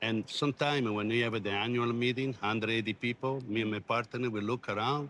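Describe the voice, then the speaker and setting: A man with an Italian accent at a fairly quick pace, hardly any pauses, a monotone, flat delivery and very even loudness. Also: medium pitch for a man. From Italy. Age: 60s. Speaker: logistics company CEO. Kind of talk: interview.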